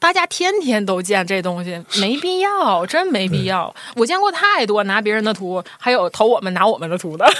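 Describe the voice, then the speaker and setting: Speaking at a moderate pace with hardly any pauses, a woman's fairly high voice makes very wide pitch swings over noticeable background noise. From Northeast China, Shenyang. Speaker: designer, studio co-founder. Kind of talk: casual interview chat.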